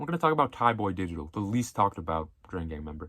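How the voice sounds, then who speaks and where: A man mumbles in a very deep, low voice on a very clean recording with a silent background. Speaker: music commentary youtuber. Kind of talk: casual one-take monologue. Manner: mumbling; casual, unscripted.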